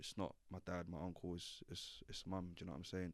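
A man's very deep, low voice in a London accent. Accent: London Multicultural English. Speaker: drill rapper. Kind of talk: interview.

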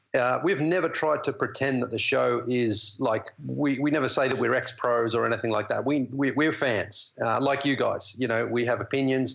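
Speaking at a moderate pace with hardly any pauses, a man with a medium-pitched voice keeps his loudness very even and his intonation fairly even over noticeable background noise. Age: 40s. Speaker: basketball TV analyst. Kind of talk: casual interview. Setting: phone or video call.

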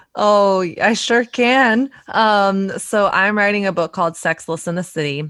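With an American accent, a woman uses a normal speaking voice at medium pitch and ordinary pitch variation, talking at a fairly slow pace with hardly any pauses in a dry, close sound with no echo. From US South. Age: 30s. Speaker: photographer and author. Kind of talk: casual interview chat.

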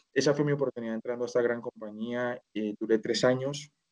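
A man speaks very fast at a medium pitch, his intonation fairly even. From Colombia (Bogotá). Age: 30s. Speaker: e-commerce manager. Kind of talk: interview. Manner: halting.

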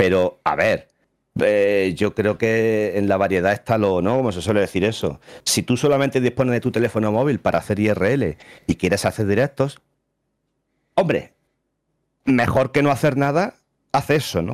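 A man speaks at a moderate pace with fairly low pitch and ordinary pitch variation. He leaves long, frequent pauses, and the recording is very clean with a silent background. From Spain, Andalusia (Jaén). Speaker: streamer and teacher. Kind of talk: casual interview chat.

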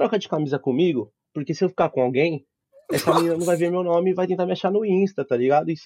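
Heard in a dry, close sound with no echo, a man speaks very fast at a high pitch with ordinary variation and a dark, mellow tone. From Osasco, São Paulo, Brazil. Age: 20s. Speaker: podcast guest. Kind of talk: casual chat with storytelling.

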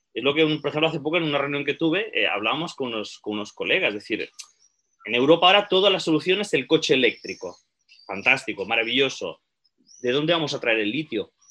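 A man with a fairly high pitch talks at a very fast pace, his intonation lively. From Spain, Barcelona (Catalonia). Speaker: archaeologist and researcher. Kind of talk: interview.

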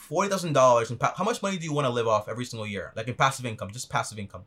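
A man speaking at a very fast pace. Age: 20s. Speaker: finance YouTuber. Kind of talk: advice call.

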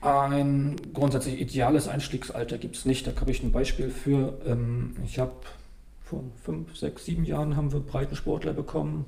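A man at a moderate pace, with audible room echo around his voice. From northern Germany (Stralsund, Western Pomerania). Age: 40s. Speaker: table tennis coach. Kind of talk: casual interview.

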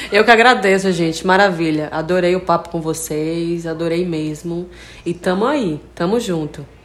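A fairly low-pitched woman at a moderate pace, ordinary pitch variation, noticeable background noise. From Brazil, Bahia (Feira de Santana). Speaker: singer. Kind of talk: interview.

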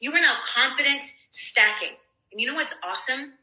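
Through audible room echo, a woman speaks with an American accent. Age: 40s. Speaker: podcast host. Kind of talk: motivational monologue. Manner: animated.

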